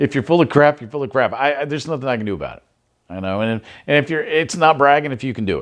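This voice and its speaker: A man talks at a very fast pace in a fairly high pitch with ordinary pitch variation. His loudness swings widely against a quiet background. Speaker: podcast host. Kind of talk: advice monologue. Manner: casual, filler-heavy.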